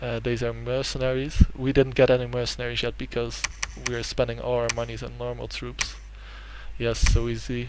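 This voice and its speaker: A man speaks at a moderate pace in a Dutch accent. His loudness swings widely, and there is noticeable background noise. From Netherlands. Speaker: gaming YouTuber. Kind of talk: let's play commentary. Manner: hesitant, many fillers.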